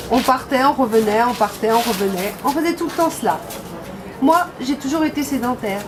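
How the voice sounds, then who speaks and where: Over noticeable background noise, a woman with a Languedoc accent talks at a moderate pace in a high pitch with lively intonation. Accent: southern French (Carcassonne). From southern France, Carcassonne. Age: 60s. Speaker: interviewee telling her life story. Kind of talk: personal testimony.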